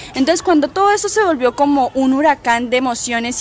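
Over noticeable background noise, a woman talks at a fairly quick pace in a high voice. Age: young. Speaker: literary foundation director. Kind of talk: interview answer. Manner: cheerful, easygoing.

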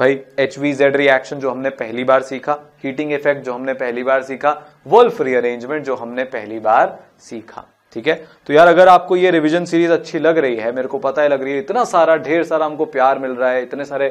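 Against a quiet background, a man with a fairly high pitch talks at a moderate pace with ordinary pitch variation. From India. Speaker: chemistry teacher. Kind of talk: lecture. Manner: animated. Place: studio.

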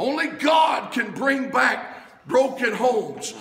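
This man's voice sits at an extremely high pitch and moves at a very slow pace. Room echo is audible, with light background noise. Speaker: preacher. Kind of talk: revival-style sermon building to a call-and-response crescendo. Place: church. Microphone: camera far.

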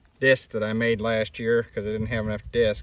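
A man speaks at a moderate pace and medium pitch, his tone fairly bright.

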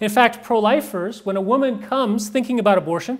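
Loud and fairly quick, a man speaks at a high pitch with an American accent. His pitch varies in an ordinary way against a quiet background. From Texas. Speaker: pro-life campaigner and speaker; speaker. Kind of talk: talk to a live audience. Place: meeting room.

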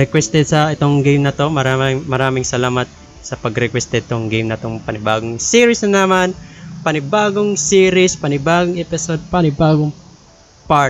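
With an upbeat tone and lively intonation, a man speaks in a dry sound with no echo over light background noise. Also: fairly quick pace. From Philippines (Leyte). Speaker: gamer. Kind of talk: casual let's-play commentary in Taglish. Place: home room. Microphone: studio mic.

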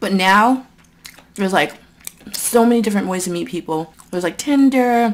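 With ordinary pitch variation, the speech unfolds at a moderate pace. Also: woman. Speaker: eating vlogger. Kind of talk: casual vlog chat. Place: home room.

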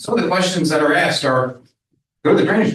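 An ordinary speaking voice with lively intonation. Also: man. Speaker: project developer representative. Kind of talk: public meeting testimony.

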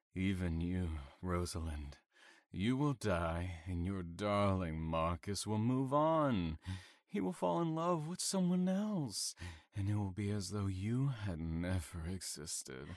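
A man with a very deep, low pitch speaks at a fairly slow pace in a calm, menacing tone, his intonation lively. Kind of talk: audio drama acting. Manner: calm, mocking, menacing.

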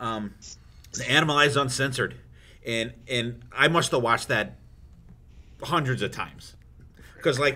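The man's tone is bright and sharp. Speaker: podcast host. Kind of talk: casual chat.

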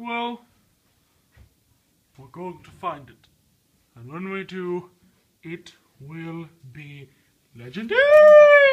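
A put-on character voice at a middle pitch, very slow, with long, frequent pauses. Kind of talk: comic overacting. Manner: fussy, dramatic, complaining.

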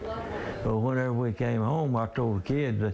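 There is noticeable background noise behind this man. His pitch varies in an ordinary way. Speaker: furniture maker. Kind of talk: interview answer. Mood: relaxed, storytelling. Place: workshop.

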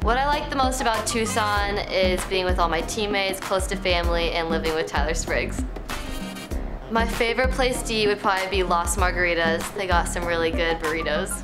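A woman speaks at a fairly quick pace with clear music playing behind her. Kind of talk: interview answer. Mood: cheerful, smiling.

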